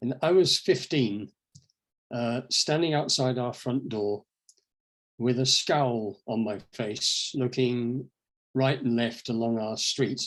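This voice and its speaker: With an English accent, a man talks very slowly at a medium pitch with ordinary pitch variation, leaving long, frequent pauses. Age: 70s. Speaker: inspirational speaker. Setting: online event.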